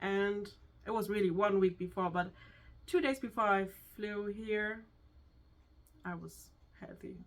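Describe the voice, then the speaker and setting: With a German accent, the speaker goes at a fairly slow pace, with long, frequent pauses and big swings in loudness. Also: woman, medium pitch for a woman, fairly even intonation. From Germany. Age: 20s. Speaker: hairdresser, co-host. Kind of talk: casual chat. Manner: halting.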